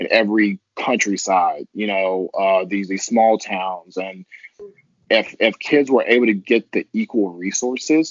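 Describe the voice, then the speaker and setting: A man with an American accent has a normal speaking voice at a fairly low pitch. He talks fairly slowly with fairly even intonation. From Texas, Longview. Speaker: podcast guest. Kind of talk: casual chat. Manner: repetitive false starts.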